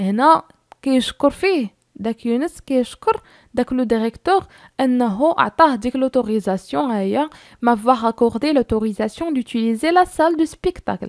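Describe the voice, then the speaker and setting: Speaking very slowly with lively intonation, a high-pitched woman with a Moroccan accent sounds dry and close, with no echo. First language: Moroccan Arabic (speaking French). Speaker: French teacher for middle school. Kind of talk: lecture. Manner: halting.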